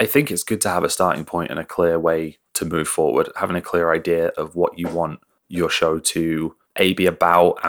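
At a moderate pace, a man speaks in a very clean recording with a silent background. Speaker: podcast producer and editor. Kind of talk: casual chat. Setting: home recording in living room.

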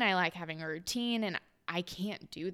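Spoken at a fairly slow pace with an American accent, the voice has a bright, sharp tone and ordinary pitch variation on a very clean recording with a silent background. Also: woman. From Houston suburbs, Texas. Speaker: nutrition coach. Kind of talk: casual chat.

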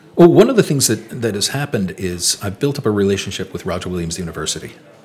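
Over noticeable background noise, the voice races at a very fast pace with lively intonation and big swings in loudness. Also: man. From Rhode Island. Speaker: historical reenactor and historian. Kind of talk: interview storytelling.

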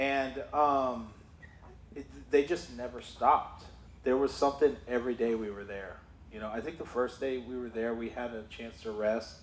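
A man with a medium-pitched, unremarkable speaking voice talks at a moderate pace with fairly even intonation. His loudness swings widely. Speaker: church member sharing testimony. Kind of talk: testimony. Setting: church.

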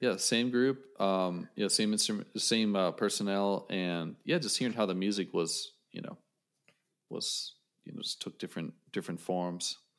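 This is a plain, everyday voice with an American accent, at a moderate pace with ordinary pitch variation. The recording is very clean, with a silent background. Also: man, fairly low pitch for a man. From western Pennsylvania, Johnstown. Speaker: saxophonist and music educator. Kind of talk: casual interview chat.

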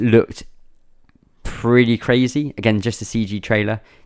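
In an English accent, a man speaks at a fairly slow pace. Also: very clean recording, silent background. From England. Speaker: gaming podcast host. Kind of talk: casual chat.

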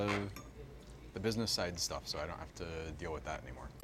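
Talking at a very fast pace with lively intonation, a man is heard against noticeable background noise. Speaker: podcast host. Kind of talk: casual chat. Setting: outdoors and restaurant, mic'd up.

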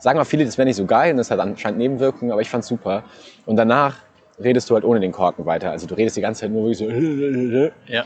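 His speech is very fast. The man's pitch is medium. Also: ordinary pitch variation. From Saarland, Saarbrücken. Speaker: radio host. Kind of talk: casual chat. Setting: outdoors in a park.

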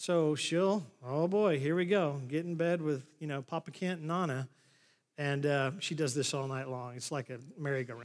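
In a very clean recording with a silent background, a man with an American accent and an ordinary speaking voice talks at a moderate pace, his pitch fairly high with ordinary variation. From Oklahoma. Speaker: pastor. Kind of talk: sermon. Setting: church.

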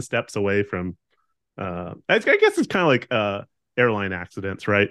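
A man with a fairly low voice speaks in an American accent. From Southern California. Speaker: guest. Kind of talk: casual chat.

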